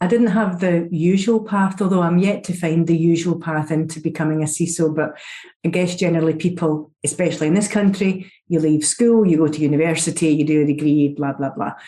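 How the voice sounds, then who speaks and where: A woman with a Scottish accent, fairly low-pitched, dark and mellow in tone, at a fairly quick pace with hardly any pauses. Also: fairly even intonation. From Scotland. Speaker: security executive. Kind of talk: podcast interview.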